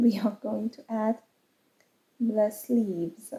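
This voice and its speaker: A woman speaks with a Persian accent and a fairly high pitch. Her dark, mellow tone is somewhat breathy, and her intonation is lively. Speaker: crochet vlogger and English teacher. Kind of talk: casual vlog talk. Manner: hesitant, with fillers.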